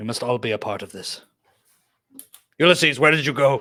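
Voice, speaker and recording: In a raspy put-on character voice, a man speaks at a medium pitch. His pace is fairly quick. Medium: actual play. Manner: formal, no contractions, earnest.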